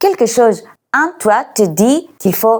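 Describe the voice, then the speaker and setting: With a Greek accent, a woman speaks very slowly in a dark, mellow tone, her fairly high pitch swinging very widely on a very clean recording with a silent background. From Greece. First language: Greek (speaking French). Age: 40s. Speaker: YouTuber and language tutor. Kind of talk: casual vlog talk on nutrition. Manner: hesitant with frequent fillers.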